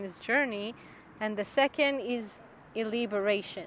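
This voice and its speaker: At a fairly slow pace, a woman with a non-native accent speaks in a fairly high pitch with ordinary pitch variation. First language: Hebrew. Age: 30s. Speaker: yoga instructor and personal trainer. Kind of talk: casual explanatory talk. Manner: halting, translating on the fly.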